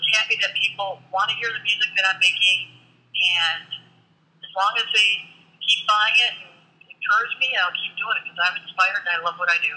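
A plain, everyday voice from a woman with an American accent, medium pitch, fairly even intonation, moderate pace and big swings in loudness. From Michigan (Detroit). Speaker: rock drummer. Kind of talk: interview.

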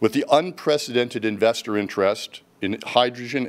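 A man speaks at a moderate pace, and his pitch varies an ordinary amount. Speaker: company executive host. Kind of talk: scripted corporate presentation.

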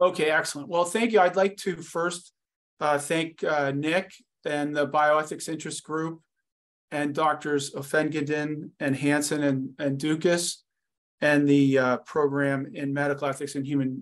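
At a moderate pace, the speech has fairly even intonation against a quiet background. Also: man. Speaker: invited guest lecturer. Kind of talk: lecture. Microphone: video call.

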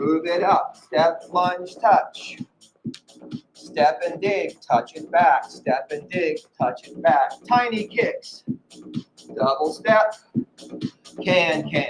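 Over music in the background, a man speaks at a very slow pace with long, frequent pauses and big swings in loudness. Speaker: fitness instructor. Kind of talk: workout cueing. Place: gym. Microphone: camera far.

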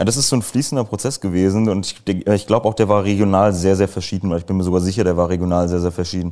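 This man's very deep, low pitch carries a dark, mellow tone, and his intonation is fairly even. He speaks at a very fast pace with hardly any pauses against a quiet background. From Germany. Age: 20s. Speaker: former party member and author; interview guest. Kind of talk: casual interview. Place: home room. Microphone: lapel.

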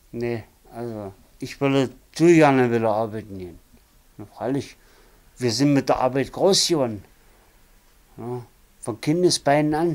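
His pitch moves in an ordinary way. The man keeps to a fairly slow pace. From Saxony-Anhalt, Dessau. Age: 50s. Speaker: former railway worker, interviewee. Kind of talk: life story interview. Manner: halting, many fillers. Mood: resigned, plain-spoken. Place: home room.

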